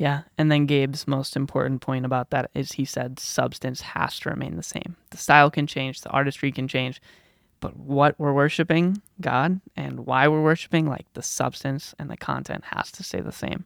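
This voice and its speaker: The recording is very clean, with a silent background. The speech runs with hardly any pauses. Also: moderate pace. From Chicago. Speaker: podcast co-host. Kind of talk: casual chat.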